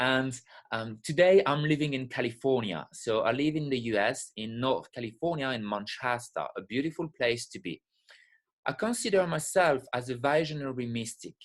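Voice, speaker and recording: A man speaks at a moderate pace with a French accent. His medium-pitched voice has lively intonation. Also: quiet background. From France, French Alps. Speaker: spiritual teacher and breathwork facilitator. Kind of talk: webinar lecture. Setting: live online webinar.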